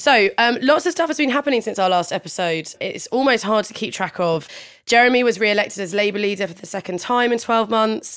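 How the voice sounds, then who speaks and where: A woman speaks in a normal speaking voice, her pitch fairly high and her intonation lively. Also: fairly quick pace. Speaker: podcast host. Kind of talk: casual discussion.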